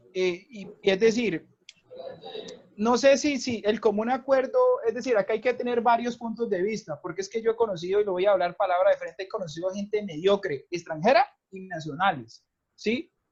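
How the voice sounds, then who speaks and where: This man's voice sits at a high pitch and moves at a moderate pace. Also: ordinary pitch variation. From Colombia. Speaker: English teacher and academic coordinator. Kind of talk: casual panel discussion. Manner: halting, many repetitions and fillers.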